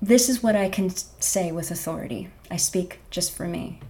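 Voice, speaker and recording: With an American accent, a woman speaks at medium pitch in a dark, mellow, somewhat breathy tone with ordinary pitch variation. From US Pacific Northwest, Bellingham, Washington. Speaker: pianist and garden center worker. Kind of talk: faith testimony interview.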